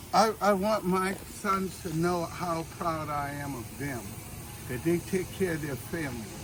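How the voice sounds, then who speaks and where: Amid noticeable background noise and audible room echo, a man with a high voice talks fairly slowly with lively intonation. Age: 70s. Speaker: family elder reminiscing. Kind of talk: casual chat.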